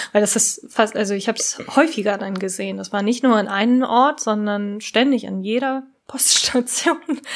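Speaking at a moderate pace, a woman has a fairly high pitch with ordinary pitch variation. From Japan. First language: Japanese (speaking German). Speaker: podcast co-host. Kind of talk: casual chat.

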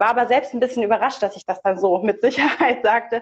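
In a plain, everyday voice with a fairly high pitch and ordinary pitch variation, a woman speaks at a fairly quick pace in a dry, close sound with no echo. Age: 30s. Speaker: theologian and online pastoral counselor. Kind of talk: casual interview. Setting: live stream.

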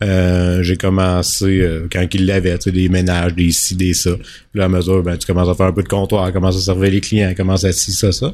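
Speaking in a Quebec accent, a man with a very deep, low pitch talks at a fairly quick pace in a flat monotone with hardly any pauses. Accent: Québécois French. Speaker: business owner. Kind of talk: casual interview chat.

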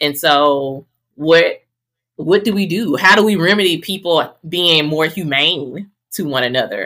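A woman with a fairly low pitch talks at a fairly slow pace. Her tone is bright and sharp, with ordinary pitch variation. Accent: Southern US. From Mississippi, Greenville. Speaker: podcast host and health professional. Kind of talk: casual chat.

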